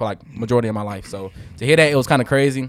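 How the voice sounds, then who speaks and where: A man with an animated tone and ordinary pitch variation. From Birmingham, Alabama. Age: 20s. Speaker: hospital worker and student. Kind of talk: casual chat. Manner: animated, uses slang.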